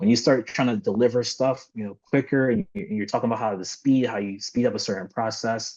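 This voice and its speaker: A man at medium pitch with ordinary pitch variation, a very fast pace and hardly any pauses, over a quiet background. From Philadelphia, US. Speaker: software engineer. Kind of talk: interview.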